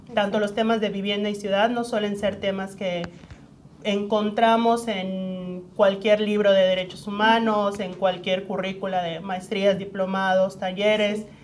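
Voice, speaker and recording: A woman's medium-pitched, monotone, flat delivery at a fairly slow pace, with audible room echo. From Mexico, Yucatán. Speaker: human rights lawyer. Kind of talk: interview.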